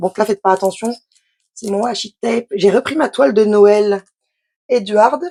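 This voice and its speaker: Dry and close with no echo, a woman's voice at medium pitch carries a dark, mellow tone and ordinary pitch variation. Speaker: craft youtuber. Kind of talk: unboxing tutorial. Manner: fast; casual, hesitant.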